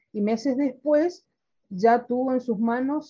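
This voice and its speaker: A woman speaking at a very slow pace. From Argentina (Corrientes). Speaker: history society president. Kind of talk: interview.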